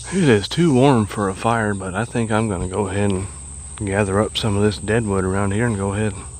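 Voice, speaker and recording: A man's fairly low voice with an American accent, at a fairly quick pace with ordinary pitch variation, against noticeable background noise. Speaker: camping vlogger. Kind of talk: casual vlog narration outdoors. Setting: outdoors at a creek campsite. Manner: casual, occasional stumbles.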